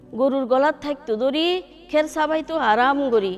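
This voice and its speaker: A woman's high-pitched voice with lively intonation over music in the background. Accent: Chittagong. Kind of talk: poetry reading. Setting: studio.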